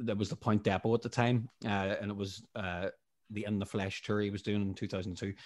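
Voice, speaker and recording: On a very clean recording with a silent background, a man with a Northern Irish accent speaks at a moderate pace in a fairly low, monotone, flat voice with hardly any pauses. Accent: Northern Irish (Tyrone). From Northern Ireland, Strabane, County Tyrone. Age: 30s. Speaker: musician. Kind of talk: casual interview.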